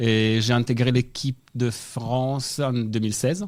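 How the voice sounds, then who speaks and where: With a slight Italian accent, a man speaks with fairly even intonation. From Italy. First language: Italian (speaking French). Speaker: national aerobic gymnastics coach. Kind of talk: radio interview.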